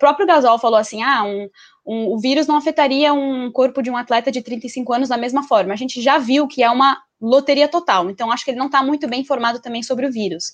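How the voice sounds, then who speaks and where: A woman's high-pitched, very fast speech with hardly any pauses and ordinary pitch variation, over a quiet background. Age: 20s. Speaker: basketball columnist. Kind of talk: casual chat.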